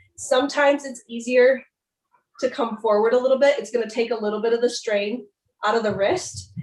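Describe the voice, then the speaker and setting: Speaking in a normal speaking voice, the woman keeps a fairly high pitch and fairly even intonation. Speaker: yoga instructor. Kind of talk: workshop teaching.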